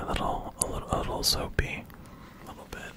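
Whispering, a man talks at a fairly quick pace. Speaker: ASMR creator. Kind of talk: ASMR video; casual talk to camera. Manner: whispered. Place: home room. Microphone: studio mic.

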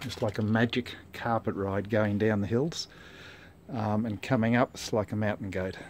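A plain, everyday voice from a man, fairly low in pitch, at a moderate pace with fairly even intonation, over light background noise. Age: 60s. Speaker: amateur mountain bike rider. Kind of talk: casual product review to camera. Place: street. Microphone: phone near.

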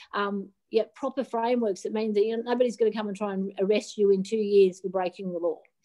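A woman with an Australian accent, very fast pace, hardly any pauses, medium pitch and fairly even intonation, over a quiet background. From Australia, rural New South Wales. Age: 50s. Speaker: digital asset regulation advisor, former derivatives trader; interview guest. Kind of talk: interview. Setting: video call from a hotel room. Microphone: video call.

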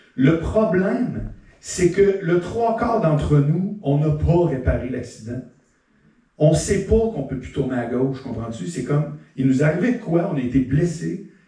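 Lively intonation marks a man talking at a fairly slow pace, with audible room echo around him. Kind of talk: stand-up comedy monologue. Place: stage.

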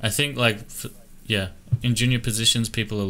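A man speaks in a fairly bright tone with little movement in his pitch.

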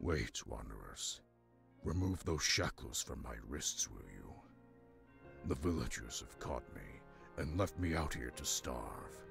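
A man uses a put-on character voice with a very deep, low pitch. He speaks at a fairly slow pace with long, frequent pauses over clear music in the background. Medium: game stream.

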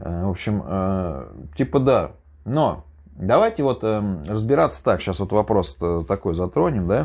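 In an ordinary speaking voice, a man talks at a moderate pace with a fairly low pitch and lively intonation. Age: 30s. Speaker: YouTuber, former prisoner. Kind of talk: casual monologue storytelling. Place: home room.

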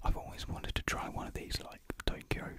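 A soft-spoken man whispers in a dry sound with no echo, while loud background noise runs behind him. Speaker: youtuber. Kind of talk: casual unboxing vlog chat, mukbang style. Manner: soft close-mic ASMR whisper. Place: home room. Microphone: studio mic.

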